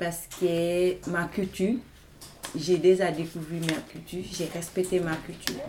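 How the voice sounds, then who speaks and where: A woman talks in a monotone, flat intonation while noticeable background noise carries on. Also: fairly slow pace. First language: not French (speaking French). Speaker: migrant woman, language learner. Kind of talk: roundtable testimony.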